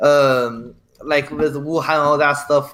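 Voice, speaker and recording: The tone is bright and sharp. It belongs to a man. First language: Chinese. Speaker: caller in political debate stream. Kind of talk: casual debate. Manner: fast.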